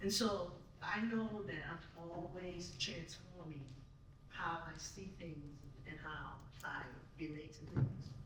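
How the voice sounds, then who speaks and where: Very slow speech broken by long, frequent pauses, with noticeable background noise behind it. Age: 60s. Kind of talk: panel discussion.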